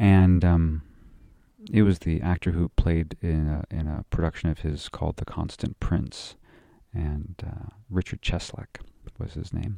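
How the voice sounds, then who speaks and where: At a fairly slow pace, the speaker's dark, mellow tone holds fairly even intonation in a dry, close sound with no echo. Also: man, very deep, low pitch for a man. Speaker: podcast co-host. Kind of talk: solo podcast monologue.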